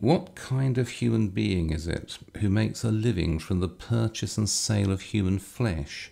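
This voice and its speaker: A man with an English accent has a dark, mellow tone. He speaks with hardly any pauses and ordinary pitch variation. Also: fairly low pitch for a man, moderate pace, very even loudness. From England. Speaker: lecturer. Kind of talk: lecture. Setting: video recording, lower basement. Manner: formal, wry.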